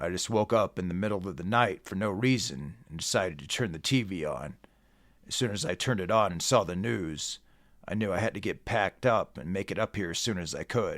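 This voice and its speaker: A raspy, put-on character voice carries lively intonation at a fairly quick pace. The recording is very clean, with a silent background. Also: man, fairly low pitch for a man. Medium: read story. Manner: mellow, casual.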